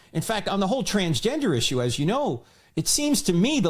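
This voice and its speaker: A man with a New Jersey accent talks with very wide pitch swings. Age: 60s. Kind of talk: podcast interview.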